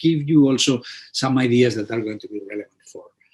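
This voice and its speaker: With a Spanish accent, a man talks at a medium pitch using ordinary pitch variation. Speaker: physician and immunologist. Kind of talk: webinar presentation. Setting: online webinar. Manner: halting, many repetitions and fillers.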